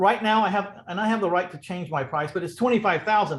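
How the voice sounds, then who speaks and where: A man with a Texan accent. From Texas, San Antonio. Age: 60s. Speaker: real estate investor. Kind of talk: podcast interview.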